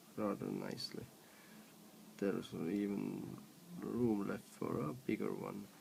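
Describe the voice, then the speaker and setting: A man with a non-native accent mumbles at a fairly slow pace and a fairly low pitch, with ordinary pitch variation and long, frequent pauses. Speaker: electronics hobbyist. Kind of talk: casual tutorial narration. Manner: mumbling.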